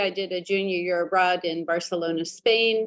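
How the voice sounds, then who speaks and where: Fairly even intonation shapes a woman's medium-pitched talking. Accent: American. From Southern California. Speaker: ambassador. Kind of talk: interview. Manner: hesitant, many fillers.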